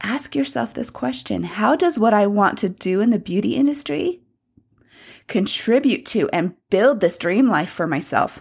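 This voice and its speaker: A woman speaks at medium pitch in a gentle, soothing tone with vocal fry, and her pitch swings very widely. The recording is very clean, with a silent background. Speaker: podcast host. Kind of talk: guided meditation. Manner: slow, soothing, calm; gentle, with pauses and soft laughs.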